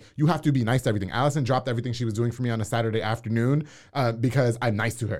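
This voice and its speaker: With an American accent, a man talks at a very fast pace. The recording is very clean, with a silent background. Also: medium pitch for a man, fairly even intonation. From New York. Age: 30s. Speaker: radio personality and podcast host. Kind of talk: casual chat. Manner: direct.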